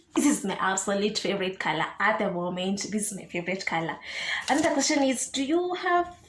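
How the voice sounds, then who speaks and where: A woman speaks with a Kenyan accent, her pitch swinging very widely. Audible room echo and noticeable background noise fill the recording. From Kenya, Kiambu County. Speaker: YouTuber. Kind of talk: casual Q&A vlog. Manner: code-switching English and Swahili.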